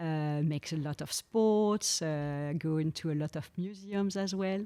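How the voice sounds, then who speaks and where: Her fairly low voice has a dark, mellow tone and ordinary pitch variation as the woman talks at a fairly slow pace on a very clean recording with a silent background. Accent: French. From France, Champagne region. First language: French. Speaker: podcast guest, finance partner and mother. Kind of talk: casual interview chat. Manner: hesitant, many fillers.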